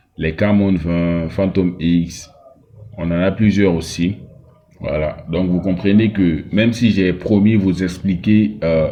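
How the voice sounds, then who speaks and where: A man speaks very slowly in a very deep, low voice with fairly even intonation over noticeable background noise. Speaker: phone repair technician / tech tutor. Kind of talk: tutorial. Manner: slow, deliberate; hesitant, many fillers.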